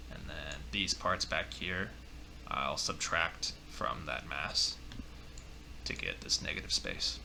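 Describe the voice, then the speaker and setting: The delivery is very slow, with long, frequent pauses. Background noise is noticeable. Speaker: software tutorial maker. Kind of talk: tutorial. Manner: casual, hesitant with fillers.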